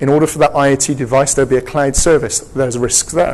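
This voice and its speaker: A man with an English accent talks at a fairly quick pace, his medium-pitched voice keeping fairly even intonation. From England. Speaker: security technology executive and speaker. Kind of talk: conference presentation. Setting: stage with audience. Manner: interactive, engaging audience.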